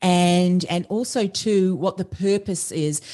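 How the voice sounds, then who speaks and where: A woman speaks with an Australian accent and a fairly low pitch. The background is quiet. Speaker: podcast strategist and business coach. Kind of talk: interview conversation.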